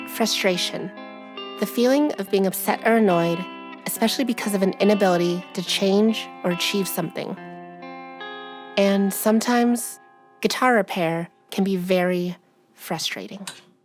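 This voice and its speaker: A woman's voice with ordinary pitch variation and long, frequent pauses, music playing in the background. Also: medium pitch for a woman, moderate pace. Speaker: guitar repair hobbyist and musician. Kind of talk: documentary voiceover narration.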